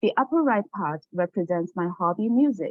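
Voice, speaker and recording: A woman speaks with a Chinese accent. Her intonation is lively. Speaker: teacher and graduate student. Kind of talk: academic presentation.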